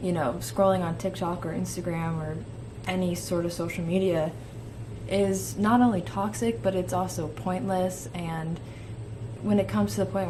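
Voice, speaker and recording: Recorded with audible room echo and noticeable background noise, a woman speaks. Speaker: vlogger, college film student. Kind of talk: casual vlog. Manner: chatty, rambling with fillers.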